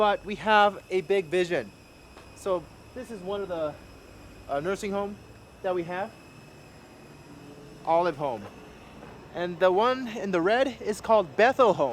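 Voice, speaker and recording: Delivery is at a fairly slow pace with long, frequent pauses. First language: not English. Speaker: missionary and MMA fighter. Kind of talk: video tour. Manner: halting, with fillers.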